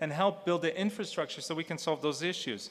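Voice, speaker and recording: Talking at a fairly quick pace, a man has a high-pitched voice. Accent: Portuguese. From Portugal. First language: Portuguese. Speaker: health AI nonprofit leader, former politician. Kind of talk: conference panel talk.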